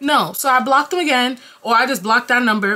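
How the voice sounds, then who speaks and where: Animated and fairly quick, a woman with an American accent speaks at a high pitch over light background noise. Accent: New York accent with Jamaican tinge. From New York, Jamaican family. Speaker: YouTuber; storyteller vlogger. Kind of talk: casual storytime vlog. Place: home room. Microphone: camera far.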